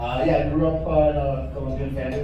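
A man is speaking with noticeable background noise. Strong room echo surrounds his voice. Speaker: stand-up comedian. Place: bar.

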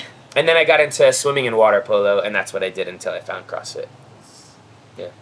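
With a General American accent, a man talks at a very fast pace, with long, frequent pauses and big swings in loudness. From Florida. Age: 30s. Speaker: CrossFit athlete. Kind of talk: casual chat. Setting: outdoors. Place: garden.

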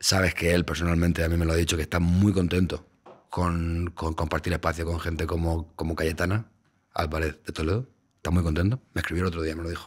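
A man's very deep, low voice, somewhat breathy, very fast, in a flat monotone. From Spain, Valencia; Spain. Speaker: podcast host, radio journalist. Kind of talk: casual chat. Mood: playful, deadpan irony. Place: studio. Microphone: studio mic.

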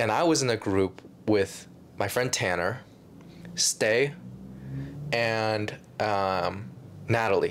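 A man's fairly low voice, very slow with long, frequent pauses, very even loudness and ordinary pitch variation, over light background noise. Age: 20s. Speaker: YouTuber and filmmaker; YouTuber. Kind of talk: casual chat. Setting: casual room, on a couch or bed. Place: home room.

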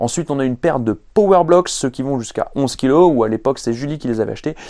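A man talks at a very fast pace with a dark, mellow tone. His pitch varies ordinarily against a quiet background. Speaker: fitness coach. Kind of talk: casual vlog chat. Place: garage.

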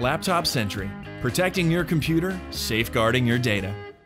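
Clear music sits behind a man who speaks at a medium pitch and a fairly quick pace, his pitch swinging very widely. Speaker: voice actor. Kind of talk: product explainer narration. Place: studio. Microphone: studio mic.

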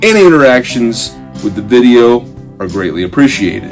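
Faint music plays in the background as a man talks at a moderate pace with a fairly low pitch. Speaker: art teacher hosting an online series. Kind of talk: lecture. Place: home room.

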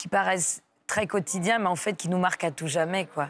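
A plain, everyday voice from a woman. Her pitch is fairly low and her intonation fairly even. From southern France, near Aix-en-Provence; France. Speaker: comedian; comedian guest. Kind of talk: radio interview. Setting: radio studio, live morning show. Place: studio. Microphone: lapel.

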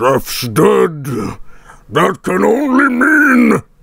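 The voice is a put-on character voice. Its tone is menacing. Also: man, fairly high pitch for a man. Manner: menacing, villainous.

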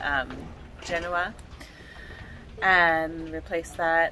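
Very slow female speech amid noticeable background noise. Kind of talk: casual vlog chat. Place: boat. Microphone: phone near.

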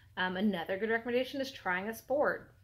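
Talking at a fairly quick pace, a woman keeps her intonation fairly even. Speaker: fitness vlogger. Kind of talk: casual vlog chat. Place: home room. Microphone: phone near.

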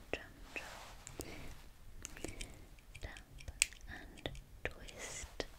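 A soft-spoken woman whispering at a very slow pace. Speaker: role-play host. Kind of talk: soft-spoken role-play chat. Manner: soft whisper while tapping jar. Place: home room.

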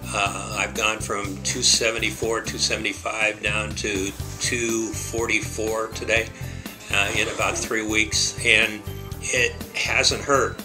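Over clear music in the background, a man with a fairly low pitch talks at a very slow pace with lively intonation. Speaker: bariatric surgery patient. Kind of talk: patient testimonial. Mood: positive, upbeat. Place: office. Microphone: webcam.

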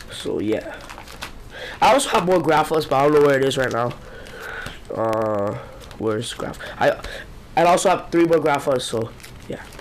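Over noticeable background noise, a man with a fairly high pitch and lively intonation talks at a moderate pace, pausing long and often. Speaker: trading card collector. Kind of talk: casual talk to camera.

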